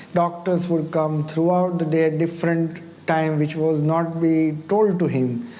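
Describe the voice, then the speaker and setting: Fairly slow, flat monotone speech with audible room echo and noticeable background noise. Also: man, fairly high pitch for a man. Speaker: doctor. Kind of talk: interview. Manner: halting.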